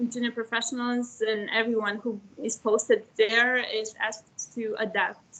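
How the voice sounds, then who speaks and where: A woman's fairly high voice holds a monotone, flat intonation. Her pace is fairly slow. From Romania. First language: Serbian. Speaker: former EU trainee, government advisor. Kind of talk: panel talk in an online webinar. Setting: online video meeting. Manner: hesitant, many fillers.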